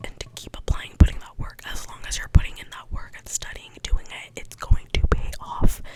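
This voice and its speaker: A woman whispers at a moderate pace with hardly any pauses. Noticeable background noise sits behind her. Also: big swings in loudness. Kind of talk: ASMR soft-spoken ramble. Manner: soft-spoken; casual, rambling.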